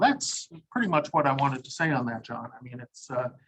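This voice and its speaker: A man speaks loudly at a moderate pace with a fairly high pitch. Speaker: lawyer. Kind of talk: webinar presentation.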